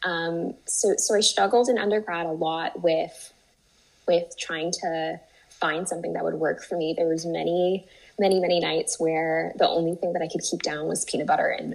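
A woman talks in a fairly low voice with vocal fry and ordinary pitch variation. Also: moderate pace. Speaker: IBD patient, biotech investor relations. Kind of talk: interview. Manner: halting, many fillers and repetitions.

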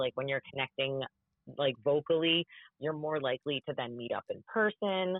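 A woman speaks with a very deep, low pitch. Her intonation is lively. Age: 30s. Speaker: podcast co-host. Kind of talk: casual chat.

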